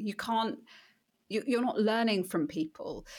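Speaking at a moderate pace with an English accent, a woman is heard on a very clean recording with a silent background. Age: 40s. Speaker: marketing coach. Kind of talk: casual interview chat.

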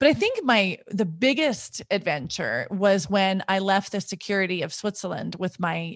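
A woman's normal speaking voice with an American accent, medium pitch, lively intonation and a fairly slow pace against a quiet background. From US Upper Midwest, North Dakota. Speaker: intercultural consultant. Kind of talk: interview.

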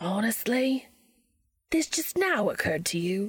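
A woman uses a put-on character voice with a slightly husky edge and big pitch swings. Her pitch sits in the medium range, and she talks slowly.

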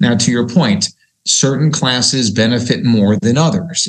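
At a moderate pace, a man speaks in a normal speaking voice with ordinary pitch variation. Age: 50s. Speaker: cardiologist. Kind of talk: interview.

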